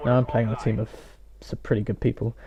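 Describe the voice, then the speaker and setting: Very fast speech comes from a man with a British accent. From UK. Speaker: gaming YouTuber. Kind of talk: gameplay commentary. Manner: quiet, hesitant.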